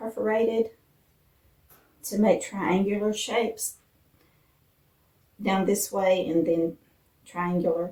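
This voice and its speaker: A woman speaks at a very slow pace in an Appalachian accent. Her pitch is medium and her tone is dark and mellow. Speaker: lifestyle vlogger. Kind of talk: cooking tutorial. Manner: casual, with fillers.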